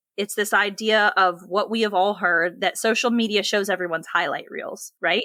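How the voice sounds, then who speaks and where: A woman with an American accent speaks at a medium pitch in a bright, sharp tone with ordinary pitch variation, the sound dry and close with no echo on a very clean recording with a silent background. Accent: Southern US, usually toned down. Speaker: podcast co-host. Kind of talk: casual chat.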